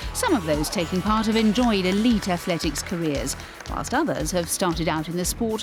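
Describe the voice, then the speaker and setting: With music in the background, a woman speaks at a moderate pace and medium pitch. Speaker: sports documentary narrator. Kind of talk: TV sports documentary narration.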